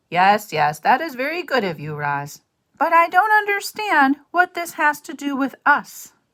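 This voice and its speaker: The speaker uses a gruff, put-on character voice at a high pitch. The pace is moderate. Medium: read story. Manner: grumbling, gruff.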